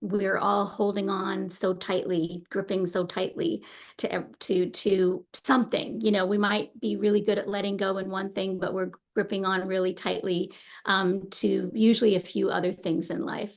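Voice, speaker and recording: The voice has vocal fry and a moderate pace. Its intonation stays fairly even. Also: woman, medium pitch for a woman. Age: 60s. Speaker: meditation teacher. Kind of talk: casual talk before guided meditation. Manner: hesitant, many fillers.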